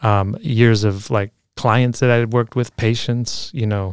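A man's unremarkable speaking voice with an American accent, fairly low and fairly even in intonation, at a moderate pace, in a very clean recording with a silent background and a dry, close sound with no echo. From Chicago, Logan Square. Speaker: physical therapist and DJ. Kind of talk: casual interview.

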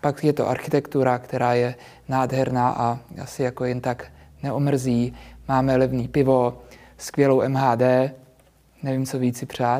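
Speaking in a monotone, flat intonation, a man goes at a fairly slow pace with long, frequent pauses. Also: medium pitch for a man. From Czech Republic, Prague. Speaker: real estate agent and youtuber. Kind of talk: interview. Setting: studio.

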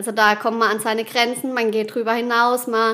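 This woman's voice sits at a fairly high pitch. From Baden, southwest Germany (Rheinhausen). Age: 30s. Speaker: wedding and funeral speaker. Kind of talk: interview.

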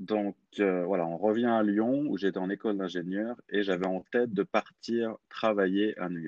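A man speaks at a fairly slow pace, his fairly low pitch held in a fairly even intonation. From France, Clermont-Ferrand. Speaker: language coach. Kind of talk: interview. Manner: halting.

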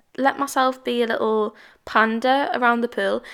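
Animated in tone, a woman speaks at a fairly quick pace in a British accent. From England. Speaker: podcast host. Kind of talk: casual solo chat. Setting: home, solo recording. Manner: chatty, animated.

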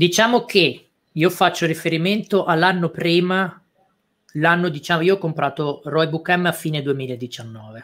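His pitch is high for a man, varies in the usual way, and the pace is fairly slow. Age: 30s. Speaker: e-commerce entrepreneur and course teacher. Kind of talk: live-stream interview. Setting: online live stream.

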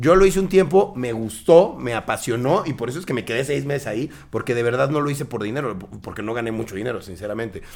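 A man talks at a very fast pace with hardly any pauses and lively intonation. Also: medium pitch for a man. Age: 30s. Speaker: content creator. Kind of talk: casual interview chat.

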